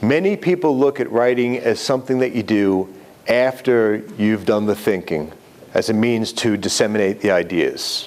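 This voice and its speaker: In a New York accent, the speaker keeps a moderate pace, ordinary pitch variation and very even loudness. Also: man, medium pitch for a man. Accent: New York accent, still present. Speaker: writing instructor. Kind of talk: lecture.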